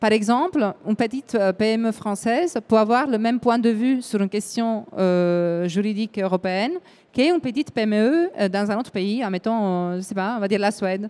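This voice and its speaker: A dark, mellow tone with an Italian accent. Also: woman, fairly high pitch for a woman, ordinary pitch variation, moderate pace. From Italy. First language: Italian (speaking French). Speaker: EU affairs event organizer. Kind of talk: panel discussion. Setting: live broadcast round table. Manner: hesitant, with fillers.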